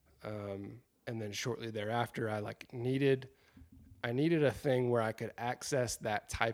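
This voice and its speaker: An ordinary speaking voice from a man with an American accent, medium in pitch, with fairly even intonation at a moderate pace, on a very clean recording with a silent background. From South Carolina. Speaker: outdoor photographer and podcaster. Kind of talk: casual interview.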